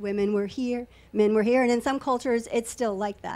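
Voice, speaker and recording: A woman speaks in an ordinary speaking voice at a moderate pace with fairly even intonation. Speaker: belly dancer. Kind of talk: casual chat. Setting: studio.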